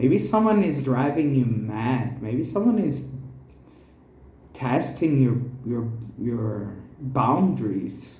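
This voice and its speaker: In a Portuguese accent, a man at a medium pitch speaks at a very slow pace with lively intonation and long, frequent pauses, while audible room echo surrounds his voice. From Brazil. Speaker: tarot reader. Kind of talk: tarot reading.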